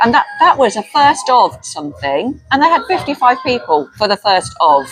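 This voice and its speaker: A woman with a London accent at a moderate pace and very even loudness, music in the background. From North London. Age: 60s. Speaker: community worker. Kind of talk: casual chat.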